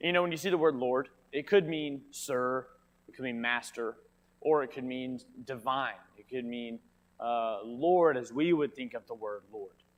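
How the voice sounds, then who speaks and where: The man's loudness swings widely while he keeps a medium pitch, ordinary pitch variation and a moderate pace. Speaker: Bible class teacher. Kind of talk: Bible class lesson. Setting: church classroom with mic. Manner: quiet.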